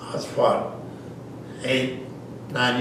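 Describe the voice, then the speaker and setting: Speaking at a fairly slow pace in a West Texas accent, a man is heard with audible room echo and noticeable background noise. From West Texas (Lubbock) and eastern New Mexico. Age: 80s+. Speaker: war veteran. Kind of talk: oral history interview. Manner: halting, frequent 'uh' fillers.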